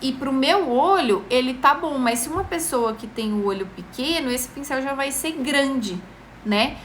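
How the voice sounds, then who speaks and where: Over noticeable background noise and audible room echo, a woman speaks at a moderate pace in a high pitch with lively intonation. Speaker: makeup tutorial host. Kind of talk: live-stream tutorial. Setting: live stream.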